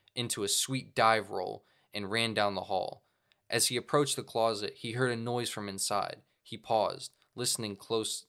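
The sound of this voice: Against a quiet background, an unforced reading voice moves with fairly even intonation.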